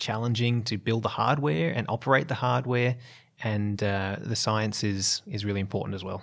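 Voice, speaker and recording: At a fairly quick pace, a man with an Australian accent talks at a fairly low pitch with ordinary pitch variation. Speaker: geologist and biologist, planetary scientist. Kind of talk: interview.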